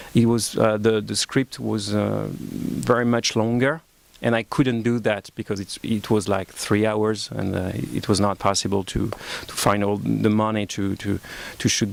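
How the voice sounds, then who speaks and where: With a French accent, a man speaks with ordinary pitch variation. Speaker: film director. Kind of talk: press conference. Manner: halting, many fillers.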